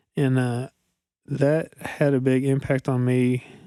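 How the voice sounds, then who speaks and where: With an eastern Kentucky accent, a man speaks at a medium pitch in a dark, mellow tone with monotone, flat intonation. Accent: eastern Kentucky-sounding. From central Kentucky, rural. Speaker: guest in recovery. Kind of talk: personal testimony in interview.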